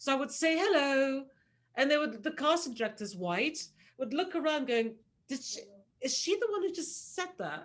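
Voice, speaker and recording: Speaking with a British accent at a moderate pace, a woman uses a high pitch with very wide pitch swings. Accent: proper British. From Nigeria, schooled in Britain. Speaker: casting director. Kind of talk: casual chat.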